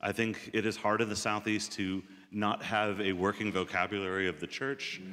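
A man with a plain, everyday voice and a fairly low pitch speaks at a moderate pace. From southeastern US. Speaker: pastor. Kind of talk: testimony.

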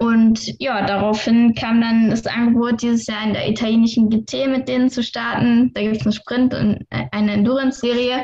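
A woman speaks at a moderate pace with a fairly high pitch and hardly any pauses. Her intonation is monotone and flat, with noticeable background noise. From Saarland, Germany. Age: 20s. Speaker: racing driver. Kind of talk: interview.

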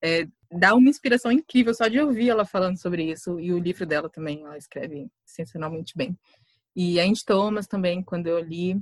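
With a plain, everyday voice, a woman at a medium pitch talks at a fairly quick pace with lively intonation and big swings in loudness, the sound dry and close with no echo. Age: 20s. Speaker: writer. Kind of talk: casual chat.

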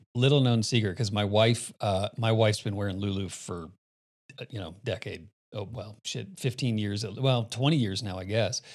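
With a plain, everyday voice, a man of fairly low pitch talks at a moderate pace, his pitch varying in an ordinary way. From Phoenix, Arizona. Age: 50s. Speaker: podcast host. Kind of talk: casual chat.

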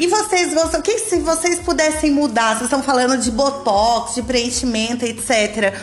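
A woman with a high pitch speaks in an animated tone with lively intonation, very even loudness, hardly any pauses and a moderate pace. Audible room echo and noticeable background noise fill the recording. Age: 30s. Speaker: podcast host. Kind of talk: casual chat.

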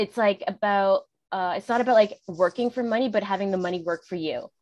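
Speaking with a Canadian accent, a woman has a plain, everyday voice at medium pitch, a fairly quick pace and fairly even intonation, with a quiet background and a dry, close sound with no echo. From Canada. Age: 30s. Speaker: podcast host. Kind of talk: casual interview.

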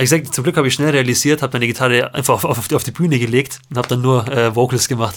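With hardly any pauses, a man rushes along at a very fast pace, his medium-pitched voice fairly even in intonation over noticeable background noise. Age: 20s. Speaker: podcast co-host, guitarist. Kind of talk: casual chat. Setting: at home, remote recording.

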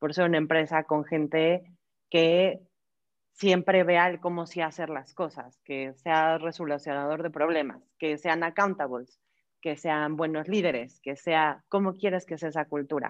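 A woman's very deep, low voice, fairly even in intonation and fairly slow, against a quiet background. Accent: Mexican. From Mexico. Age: 30s. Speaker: human resources director. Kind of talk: interview. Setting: video call.

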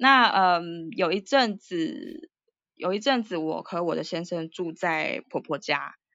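With a Taiwanese accent, a fairly low-pitched woman speaks at a very slow pace, her intonation lively. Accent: Taiwanese Mandarin. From Taiwan, Taipei. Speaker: writer and Chinese teacher. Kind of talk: casual interview. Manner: hesitant with many fillers.

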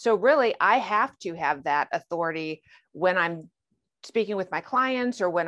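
A woman with a normal speaking voice talks at a moderate pace and medium pitch. The sound is dry and close with no echo, over a quiet background. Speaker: retired federal agent. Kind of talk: interview.

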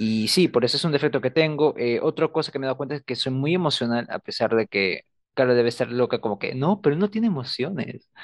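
Talking at a very fast pace with hardly any pauses, a man uses a fairly high pitch and lively intonation, in a dry, close sound with no echo. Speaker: student podcast co-host. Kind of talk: casual chat. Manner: reserved, few words.

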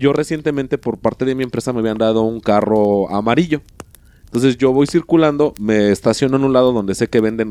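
With a Mexican accent, a man talks at a fairly quick pace in a dark, mellow tone at medium pitch with ordinary pitch variation, the sound dry and close with no echo. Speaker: podcast co-host. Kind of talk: casual chat. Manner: halting, repeats words.

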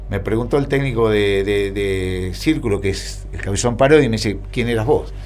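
A man talks at a fairly quick pace in a Rioplatense accent. Noticeable background noise and audible room echo surround him. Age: 60s. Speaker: retired footballer. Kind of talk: casual interview. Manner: halting.

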